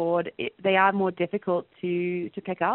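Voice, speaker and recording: At a moderate pace, a woman speaks with an Australian accent and a medium pitch. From rural Western Australia. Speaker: education professor and researcher. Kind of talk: interview.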